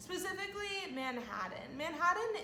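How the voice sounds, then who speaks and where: A woman with an American accent speaks with very wide pitch swings. The room echo is audible, and background noise is noticeable. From California. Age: 20s. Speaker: vlogger. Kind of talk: casual vlog talk to camera.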